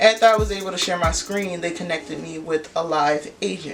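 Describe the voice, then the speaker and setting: A woman's fairly low-pitched voice with an American accent and ordinary pitch variation, music playing in the background. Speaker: vlogger, aspiring law student. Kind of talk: casual vlog storytelling. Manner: fast.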